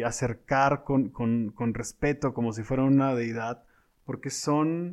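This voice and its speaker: Against a quiet background, a man speaks very slowly. His pitch is medium. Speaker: podcast co-host, industry professional. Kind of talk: casual chat.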